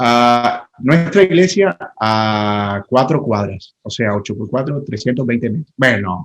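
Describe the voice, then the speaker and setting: A man with a Colombian Caribbean accent speaks at a very slow pace with hardly any pauses, his medium-pitched voice carrying lively intonation. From Colombian Caribbean coast, Santa Marta. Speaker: pastor. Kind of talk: casual interview chat.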